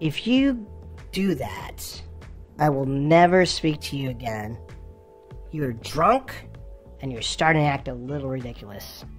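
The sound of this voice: A man uses a cartoonish character voice with a fairly high pitch at a moderate pace. Long, frequent pauses break up his speech while clear music plays in the background.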